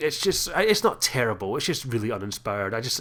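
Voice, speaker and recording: A man with a medium pitch talks in a Scottish accent. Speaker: gaming YouTuber. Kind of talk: video commentary. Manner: halting.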